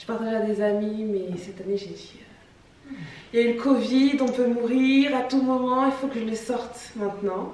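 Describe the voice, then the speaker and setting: Amid noticeable background noise and audible room echo, a woman speaks at a moderate pace and a fairly high pitch with fairly even intonation and big swings in loudness. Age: 20s. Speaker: singer. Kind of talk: casual chat.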